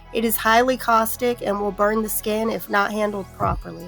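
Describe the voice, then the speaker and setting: Over music in the background, a woman talks at a moderate pace in a fairly high pitch. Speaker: soap maker. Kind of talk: tutorial talk to camera.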